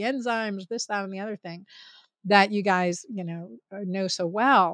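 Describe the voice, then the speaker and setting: At a fairly quick pace, a woman talks in an unremarkable speaking voice at medium pitch. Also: dry, close sound with no echo, quiet background. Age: 50s. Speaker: physician. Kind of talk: interview.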